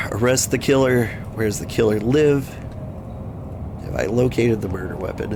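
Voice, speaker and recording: A man talks at a fairly slow pace in a medium pitch. Noticeable background noise runs behind him. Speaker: gaming video host. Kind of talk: casual gameplay commentary.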